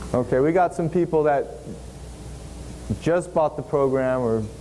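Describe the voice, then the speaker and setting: With noticeable noise behind him, a man speaks using ordinary pitch variation. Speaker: seminar instructor. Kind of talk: software tutorial.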